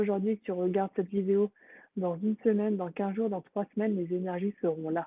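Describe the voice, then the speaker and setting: The delivery is fairly quick, with monotone, flat intonation. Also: woman. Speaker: energy healer. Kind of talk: live stream introduction to guided healing meditation. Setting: live stream on social media. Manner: casual with frequent hesitations; soft-spoken during healing.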